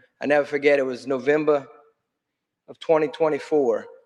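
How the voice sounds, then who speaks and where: This man has a strong South Louisiana accent and a fairly high pitch. He talks at a fairly quick pace. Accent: thick South Louisiana. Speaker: state legislator. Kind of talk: conference panel talk. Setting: conference stage with audience.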